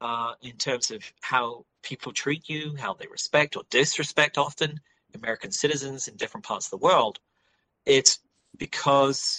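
Speaking at a moderate pace with an English accent, a man has a medium pitch, a bright, sharp tone and ordinary pitch variation, recorded dry and close with no echo. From England. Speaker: political science instructor and author. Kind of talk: interview.

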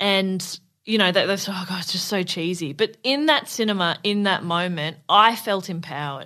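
With an Australian accent, a woman speaks at a moderate pace in a bright, sharp tone. The background is quiet. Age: 30s. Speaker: comedian. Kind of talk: casual chat.

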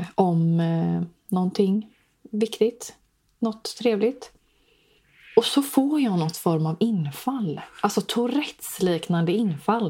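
A woman speaks at a very slow pace with long, frequent pauses. Her medium-pitched voice has lively intonation. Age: 20s. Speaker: podcast host. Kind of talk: casual chat.

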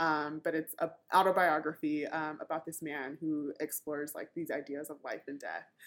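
Very deep and low in pitch, a woman speaks in a Californian accent with monotone, flat intonation. She keeps a moderate pace with hardly any pauses, on a very clean recording with a silent background. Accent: Californian American English. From Southern California. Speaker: product manager and conference speaker. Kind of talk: casual interview.

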